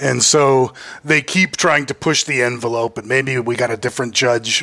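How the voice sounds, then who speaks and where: A man's medium-pitched voice, fairly even in intonation, moves at a moderate pace while noticeable background noise carries on around it. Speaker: lawyer. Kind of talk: casual chat.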